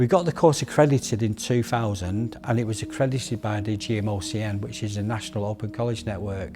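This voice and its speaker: With a Manchester accent, a man talks at a very fast pace with hardly any pauses, over music in the background. His pitch is fairly low, with ordinary pitch variation. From northern England, Middleton, Manchester. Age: 60s. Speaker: close protection instructor. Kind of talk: documentary interview.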